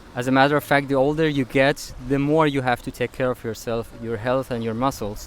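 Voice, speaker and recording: A man of medium pitch talks in a normal speaking voice with fairly even intonation. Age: 40s. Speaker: fitness and diet content creator. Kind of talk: Q&A monologue answering viewer comments. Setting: outdoors on a beach. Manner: casual, with fillers and repetitions.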